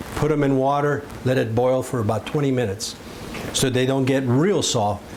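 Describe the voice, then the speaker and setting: A man talks at a moderate pace and medium pitch. Noticeable background noise can be heard. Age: 70s. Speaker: home cooking show host. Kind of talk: cooking tutorial. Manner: casual, conversational.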